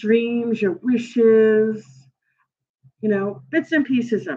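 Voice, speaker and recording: Her pitch is fairly high. The woman takes a fairly slow pace. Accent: Brooklyn. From New York, Brooklyn. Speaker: tarot reader and astrology livestreamer. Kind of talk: livestream tarot reading, casual talk. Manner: casual, halting with many fillers.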